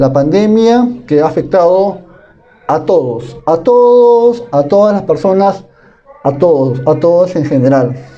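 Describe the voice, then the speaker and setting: A man's high-pitched voice at a very slow pace, lively in intonation and very even in loudness, over noticeable background noise. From Peru, Piura. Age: 20s. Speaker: university student. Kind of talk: class presentation. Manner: formal.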